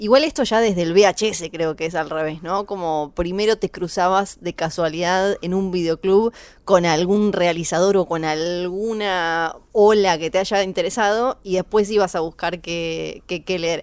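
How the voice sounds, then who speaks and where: A woman speaks in a plain, everyday voice at medium pitch with fairly even intonation. Her pace is moderate, with hardly any pauses. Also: very clean recording, silent background. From Tierra del Fuego, Argentina. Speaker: radio co-host. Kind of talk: casual chat.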